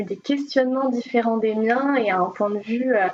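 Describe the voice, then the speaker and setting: Noticeable background noise accompanies a woman's voice. Her pitch is fairly high, with ordinary variation. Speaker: speech therapist. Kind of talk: podcast interview.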